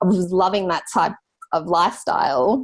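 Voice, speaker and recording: In an Australian accent, a woman with a fairly low pitch talks at a moderate pace with ordinary pitch variation. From Australia, rural New South Wales (Grafton). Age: 20s. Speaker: graphic designer, business owner. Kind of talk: podcast interview. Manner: casual, many fillers.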